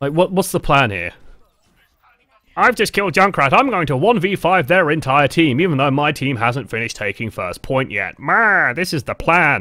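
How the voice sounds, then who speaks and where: With a bright, sharp tone and some vocal fry, a man speaks at a moderate pace in a fairly high pitch. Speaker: game coach streamer. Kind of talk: live stream commentary and coaching. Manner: casual, filler-heavy.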